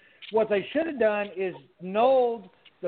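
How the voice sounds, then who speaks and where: A man speaks with a high pitch in an American accent. His intonation is lively. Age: 40s. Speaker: podcast co-host. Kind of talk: casual chat. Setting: live video stream.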